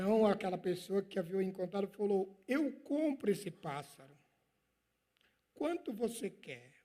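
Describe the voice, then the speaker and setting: This man has a high pitch and a dark, mellow tone, with lively intonation. He goes at a fairly slow pace, leaving long, frequent pauses. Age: 60s. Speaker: pastor. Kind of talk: sermon.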